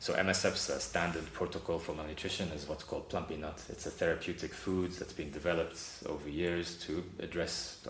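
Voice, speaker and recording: Very deep, low male voice, monotone and flat, at a fairly quick pace with hardly any pauses, amid audible room echo and noticeable background noise. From South Africa. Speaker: humanitarian aid worker. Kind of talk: interview.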